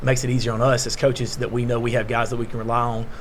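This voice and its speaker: A man speaks at a medium pitch. There is audible room echo. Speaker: high school basketball coach. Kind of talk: media day interview. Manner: loud; hesitant, many fillers.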